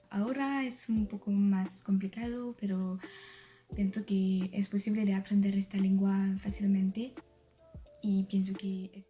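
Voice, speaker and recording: A woman with a French accent speaks at a medium pitch and a fairly slow pace, her intonation fairly even, over noticeable background noise. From France. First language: French (speaking Spanish). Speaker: language learner vlogger. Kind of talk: video diary. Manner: halting.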